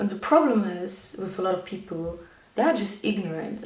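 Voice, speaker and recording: A woman speaks at a moderate pace and a medium pitch with ordinary pitch variation. Audible room echo and noticeable background noise are present. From Germany. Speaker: YouTuber. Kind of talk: personal vlog monologue.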